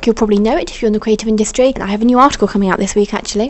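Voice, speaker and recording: A woman's animated tone at a fairly high pitch. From England. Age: 20s. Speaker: vlogger and freelance writer. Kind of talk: casual vlog talk to camera. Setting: at home in partner's flat.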